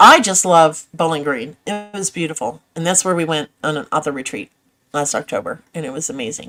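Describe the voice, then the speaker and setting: Animated and lively in intonation, a woman talks at a fairly quick pace in a very deep, low pitch with a bright, sharp tone. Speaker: novelist and channel host. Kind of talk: casual livestream chat reading viewer comments.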